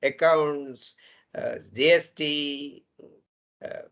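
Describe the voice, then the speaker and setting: A man speaks at a fairly high pitch with a Gujarati accent. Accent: Indian English, Gujarati. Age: 70s. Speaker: engineering professor. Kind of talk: lecture. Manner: animated.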